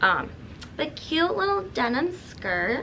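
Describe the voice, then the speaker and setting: A woman at a very slow pace, with light background noise. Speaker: vlogger. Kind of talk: casual vlog chat, shopping haul. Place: home room.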